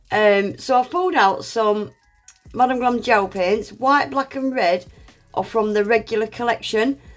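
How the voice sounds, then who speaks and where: Over background music, a woman talks at a moderate pace in a fairly high pitch. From Scottish, raised in Northern England. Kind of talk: nail art tutorial narration.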